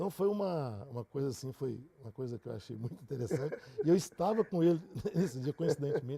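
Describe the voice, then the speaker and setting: A man talks very fast with lively intonation and a fairly high pitch, his loudness swinging widely in a dry, close sound with no echo. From Brazil, Catalão, Goiás. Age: 60s. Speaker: engineer. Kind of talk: interview.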